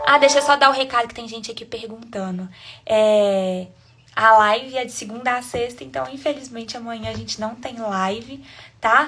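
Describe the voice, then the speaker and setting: Speaking with a Minas Gerais accent, a woman uses a fairly high pitch, ordinary pitch variation, a moderate pace and big swings in loudness. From Brazil, Minas Gerais (Sete Lagoas). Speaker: online devotional leader. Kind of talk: live-stream devotional, casual wrap-up. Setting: live stream.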